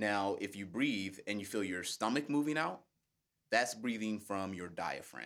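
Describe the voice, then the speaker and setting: With an unremarkable speaking voice, a man talks fairly slowly at a fairly low pitch with ordinary pitch variation, in a very clean recording with a silent background. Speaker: public speaker and project manager. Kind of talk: casual interview. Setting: studio.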